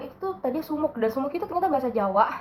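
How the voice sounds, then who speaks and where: A woman talks at a very fast pace and a high pitch with very wide pitch swings, in a slight West Javanese accent. Noticeable background noise is present. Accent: slightly Sundanese. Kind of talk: casual, conversational.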